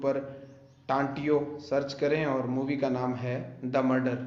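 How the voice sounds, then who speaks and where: With a Rajasthani accent, a man with a fairly high pitch speaks in a monotone, flat intonation, amid audible room echo and noticeable background noise. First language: Bagri (speaking Hindi). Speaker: YouTuber and film director. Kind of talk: true crime storytelling on a live video.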